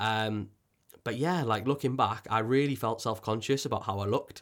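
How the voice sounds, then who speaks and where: On a very clean recording with a silent background, a man with a North Welsh accent speaks with ordinary pitch variation. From North Wales coast. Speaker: podcast host. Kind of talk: personal story monologue. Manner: halting, with frequent fillers and repetitions.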